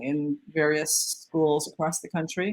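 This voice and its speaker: Spoken with a Canadian accent, the clip is a very clean recording with a silent background. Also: woman. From Canada, Anishinaabe First Nation (northern Ontario). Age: 60s. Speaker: artist. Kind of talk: interview conversation. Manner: halting, many fillers.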